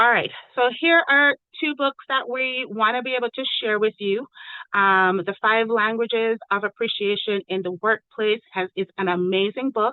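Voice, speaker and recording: A woman with an ordinary speaking voice, fairly high in pitch, ordinary pitch variation, and a moderate pace. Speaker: education program facilitator. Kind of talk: online meeting presentation.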